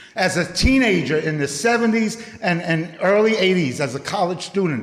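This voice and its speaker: A man with an American accent speaks at a moderate pace in a high pitch with lively intonation. There is audible room echo and noticeable background noise. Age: 60s. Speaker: youth program director. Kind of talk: public speech.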